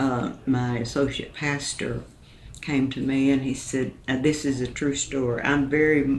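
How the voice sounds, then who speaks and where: Audible room echo surrounds a woman with a very deep, low pitch. She speaks at a fairly slow pace in a monotone, flat intonation. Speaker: country singer. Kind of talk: interview.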